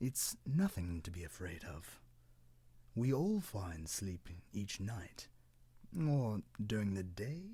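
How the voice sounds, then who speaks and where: Someone puts on a low-pitched character voice. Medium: read story. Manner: gentle, matter-of-fact.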